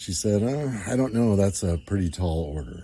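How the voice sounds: A man's fairly low voice with a dark, mellow tone and a somewhat breathy quality moves through lively intonation on a very clean recording with a silent background.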